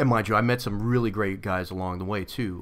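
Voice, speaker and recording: This man has a New York accent and a fairly low voice with ordinary pitch variation. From Brooklyn, New York (Coney Island). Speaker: navy veteran, nonprofit founder. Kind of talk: podcast interview. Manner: hesitant, many fillers.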